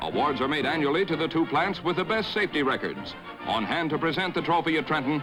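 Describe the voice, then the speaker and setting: A high-voiced man speaks at a fairly quick pace. Music plays in the background. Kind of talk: newsreel narration.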